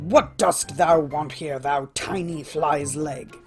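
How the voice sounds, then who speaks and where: Faint music plays behind a growling, put-on character voice that sits at a low-to-middle pitch and moves at a very slow pace. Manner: scornful, contemptuous.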